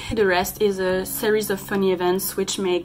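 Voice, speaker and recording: Noticeable background noise sits behind a woman with a French accent. She speaks at a medium pitch and a fairly slow pace. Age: 20s. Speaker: film reviewer. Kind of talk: film review monologue. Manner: animated.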